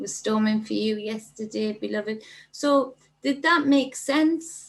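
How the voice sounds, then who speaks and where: Somewhat breathy, a woman speaks at a fairly slow pace. Her fairly high pitch carries lively intonation. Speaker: spiritual livestream host. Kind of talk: casual livestream chat reading comments. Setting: livestream.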